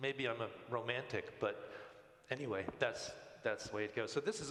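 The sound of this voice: Reading in an unforced voice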